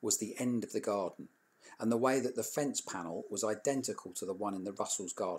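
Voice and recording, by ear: Someone reading aloud in a natural voice, with ordinary pitch variation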